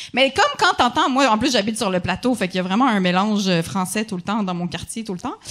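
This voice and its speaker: A woman's fairly high voice at a very fast pace, with lively intonation, hardly any pauses and noticeable background noise. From Quebec, Montreal. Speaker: comedian. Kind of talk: casual chat.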